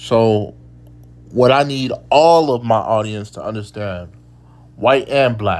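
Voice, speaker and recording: With audible room echo, a man talks at a very slow pace and medium pitch, with ordinary pitch variation. He takes long, frequent pauses. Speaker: occult lecturer. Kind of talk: lecture. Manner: halting, many repetitions; casual.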